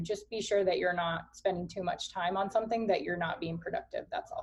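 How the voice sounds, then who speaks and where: At a medium pitch, a woman speaks with fairly even intonation. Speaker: coaching team leader hosting training call. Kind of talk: online team training call. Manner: fast.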